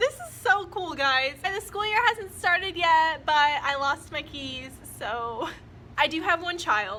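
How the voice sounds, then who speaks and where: With a raised, projected voice, a woman speaks at a fairly slow pace, her pitch swinging very widely. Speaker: first year teacher. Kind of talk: casual talk to camera.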